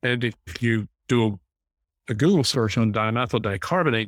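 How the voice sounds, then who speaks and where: A man's plain, everyday voice with an American accent, medium in pitch with ordinary pitch variation, at a fairly quick pace in a very clean recording with a silent background. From North Carolina. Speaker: wine company founder. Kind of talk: interview.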